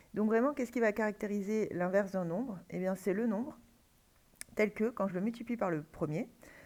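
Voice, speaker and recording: With a dark, mellow tone and medium pitch, a woman speaks with lively intonation. She leaves long, frequent pauses. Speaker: math teacher. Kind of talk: lecture. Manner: halting, many fillers.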